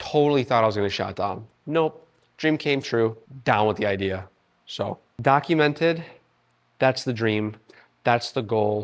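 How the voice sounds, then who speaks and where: With long, frequent pauses, a man speaks using ordinary pitch variation. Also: medium pitch for a man. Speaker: fitness vlogger. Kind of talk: casual vlog while working out. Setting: gym.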